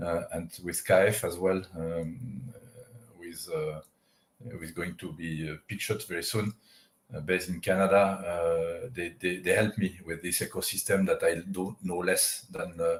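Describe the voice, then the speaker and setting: A man's very deep, low, somewhat breathy voice at a fairly slow pace, with fairly even intonation and big swings in loudness. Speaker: aviation tech company CEO. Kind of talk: interview. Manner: halting, many fillers.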